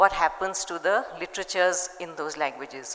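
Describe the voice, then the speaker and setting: The woman keeps her intonation fairly even and moves at a moderate pace, with noticeable noise in the background. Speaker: panel moderator and children's publisher. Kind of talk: panel discussion. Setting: stage with audience.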